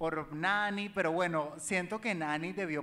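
A man speaks with a Venezuelan accent. His pitch is high, with ordinary variation. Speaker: social media entertainer; podcast guest. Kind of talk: live comedy talk show with audience. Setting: live venue with audience. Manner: flamboyant, camp. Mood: relaxed, playful, animated. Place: stage. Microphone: handheld.

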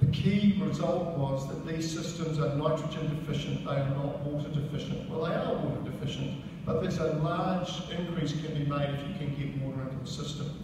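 Over clear background noise, a man with a fairly high pitch talks at a fairly quick pace with few pauses.

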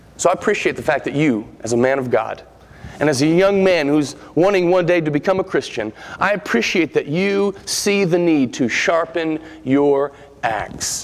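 A man talks at a moderate pace. His tone is animated, with lively intonation. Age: 30s. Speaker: preacher. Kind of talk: sermon. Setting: church. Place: church. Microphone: podium.

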